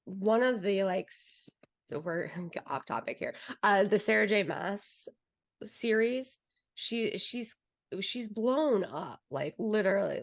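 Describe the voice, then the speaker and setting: This is a woman speaking at a medium pitch. Her pace is very slow. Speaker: podcast co-host. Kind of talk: casual chat.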